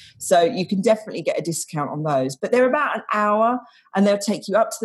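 With an English accent, a woman talks at a fairly quick pace. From England. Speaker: expat travel guide. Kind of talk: casual interview.

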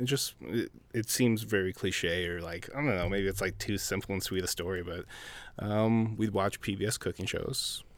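A man's fairly low voice with an Upper Midwest accent, moderate pace and ordinary pitch variation, on a very clean recording with a silent background. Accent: Upper Midwest American. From Minnesota, Minneapolis. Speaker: chef. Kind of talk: casual chat.

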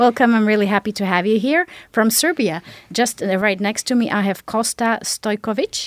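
A woman with a Slovak accent speaks at a moderate pace, her fairly high pitch moving with ordinary variation in a dry, close sound with no echo. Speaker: podcast host. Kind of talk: moderated panel discussion. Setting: studio.

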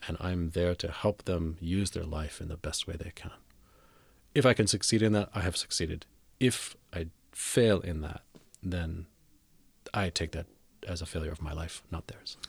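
A man with an American accent speaks at a very deep, low pitch, somewhat breathy. He leaves long, frequent pauses on a very clean recording with a silent background. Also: ordinary pitch variation, moderate pace. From New Jersey, US East Coast. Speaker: Zen Buddhist abbot. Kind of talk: interview.

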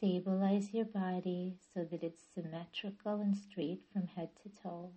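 A woman speaks fairly slowly at a medium pitch, somewhat breathy. Her tone is gentle and soothing, her intonation monotone and flat. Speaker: yoga nidra teacher and therapist. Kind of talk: guided meditation. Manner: slow, soothing, calm; gentle, measured, with long pauses.

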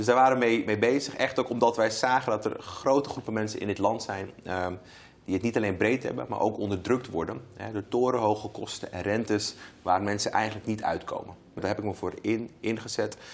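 Over noticeable background noise, a man with a fairly low pitch talks at a fairly quick pace with fairly even intonation. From Amsterdam Zuidoost (Bijlmermeer), Netherlands. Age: 30s. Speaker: member of parliament. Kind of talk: interview. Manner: hesitant, many fillers and repetitions.

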